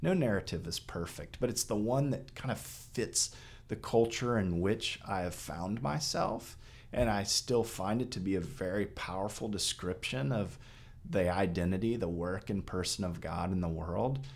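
A man with an unremarkable speaking voice talks at a moderate pace. His pitch is fairly low, with ordinary pitch variation. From Texas. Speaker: priest. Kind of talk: casual chat.

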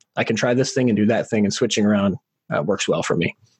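This man talks at a very fast clip. The sound is dry and close, with no echo. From rural area, small town. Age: 40s. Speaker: podcast host. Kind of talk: casual interview chat.

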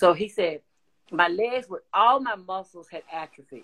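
Using a normal speaking voice, a woman talks at a moderate pace, medium in pitch with ordinary pitch variation. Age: 60s. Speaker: covid survivor sharing her story. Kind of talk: testimony.

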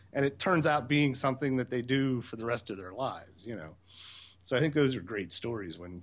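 An unremarkable speaking voice from a man at medium pitch, fairly quick in pace, with ordinary pitch variation against a quiet background. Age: 40s. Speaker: sailing podcaster and wastewater treatment operator. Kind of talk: casual interview chat. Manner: relaxed, many filler words.

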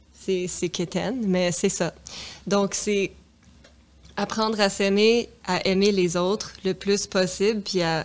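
A woman talks at a very slow pace in a flat, monotone delivery, pausing long and often while her loudness stays very even. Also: medium pitch for a woman. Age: 30s. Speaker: singer's daughter. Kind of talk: interview conversation.

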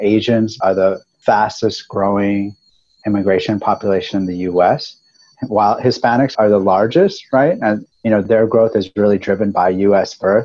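In an ordinary speaking voice, a man talks at a moderate pace with fairly even intonation and a fairly low pitch. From US, Mexican-American family. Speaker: market research company co-founder. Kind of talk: interview conversation.

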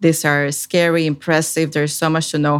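A woman with a Spanish accent speaks at a fairly quick pace in a very deep, low pitch with monotone, flat intonation. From Puerto Rico. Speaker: government science analyst. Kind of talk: interview.

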